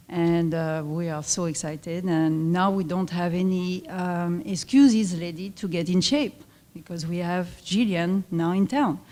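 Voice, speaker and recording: Fairly slow speech with a French accent, a dark, mellow tone and ordinary pitch variation. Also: woman. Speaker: fitness club owner. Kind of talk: presentation at luncheon. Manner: halting.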